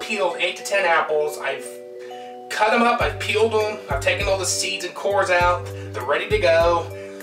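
At a moderate pace, a man speaks while clear music runs behind him. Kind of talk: tutorial. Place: kitchen. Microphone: camera far.

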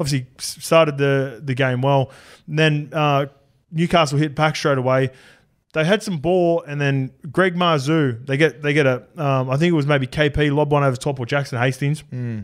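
Over a quiet background, a man with an Australian accent speaks in a fairly high pitch with fairly even intonation. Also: moderate pace. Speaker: rugby league podcast host. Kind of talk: casual chat. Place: studio. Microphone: studio mic.

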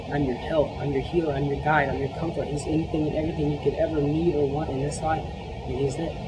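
A man rattles off his words very fast while loud background noise fills the clip. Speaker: speaker. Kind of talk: sermon. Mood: earnest, warm. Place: church.

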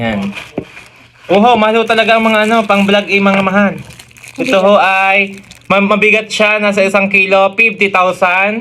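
Using a raised, projected voice, a high-pitched man speaks at a fairly slow pace with monotone, flat intonation and very even loudness over noticeable background noise. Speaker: comedy vlogger. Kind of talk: comedic vlog, unboxing.

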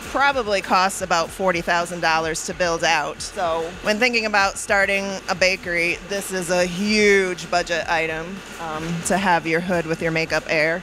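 This woman's voice sits at a fairly low pitch, with fairly even intonation and a moderate pace. Music plays in the background, and the sound is dry with no echo. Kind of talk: interview answer. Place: kitchen. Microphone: handheld.

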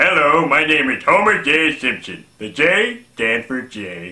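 A man's put-on character voice, fairly high in pitch, with very wide pitch swings at a fairly slow pace. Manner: comic, self-introducing.

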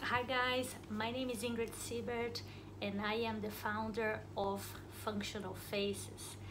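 A woman at a fairly slow pace with very even loudness, amid noticeable background noise. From Brazil. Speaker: dental therapist. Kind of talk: channel introduction. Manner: hesitant, many fillers. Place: office. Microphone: phone near.

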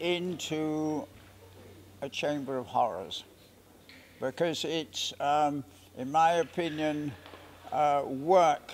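A man with a fairly high pitch, very slow pace, long and frequent pauses, fairly even intonation, and light background noise. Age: 80s+. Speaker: veteran sprinter and bodybuilder. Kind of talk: interview answer. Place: stadium.

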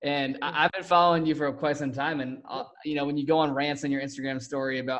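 A man at a fairly high pitch and a very fast pace, with fairly even intonation and a quiet background. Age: young. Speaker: podcast host. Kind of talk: casual interview. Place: home room. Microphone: studio mic.

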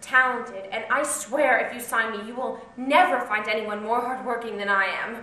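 A woman speaks at a moderate pace. Room echo is audible around her voice. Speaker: actor playing an auditioning hopeful. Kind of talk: acted scene, pleading monologue. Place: stage. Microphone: camera far.

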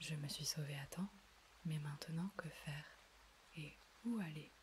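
The speaker whispers in a soft-spoken way at a fairly slow pace. Noticeable background noise can be heard. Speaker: audiobook / ASMR reader. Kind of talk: soft-spoken bedtime story reading. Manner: whispered, soft, slow.

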